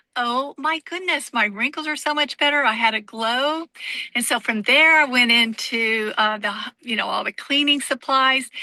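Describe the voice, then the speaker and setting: A woman's high, raised, projected voice, bright and sharp in tone, at a moderate pace with ordinary pitch variation. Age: 60s. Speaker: direct sales distributor sharing testimony. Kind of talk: testimony.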